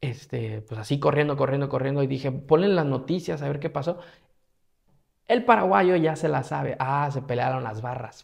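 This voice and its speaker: Against a quiet background, a man with a fairly high pitch talks at a moderate pace, somewhat breathy, with ordinary pitch variation. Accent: Mexican. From Mexico, Morelia, Michoacán; Michoacán, Mexico. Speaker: travel vlogger. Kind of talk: casual storytelling monologue. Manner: animated. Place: home room.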